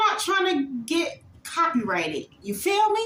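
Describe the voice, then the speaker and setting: A woman's raised, projected voice swings very widely in pitch. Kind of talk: casual vlog outro. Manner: loud.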